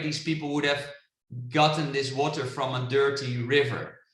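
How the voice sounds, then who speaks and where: Audible room echo surrounds a man speaking with a Dutch accent. His pitch varies in an ordinary way. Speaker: international business coach. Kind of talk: webinar presentation. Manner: animated.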